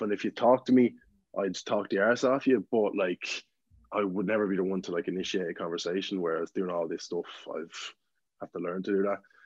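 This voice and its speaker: With an Irish accent, a man talks at a fairly quick pace in a fairly low pitch with ordinary pitch variation. The background is quiet and the sound is dry and close with no echo. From Ireland, County Meath. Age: 20s. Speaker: TikTok content creator. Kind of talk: casual chat.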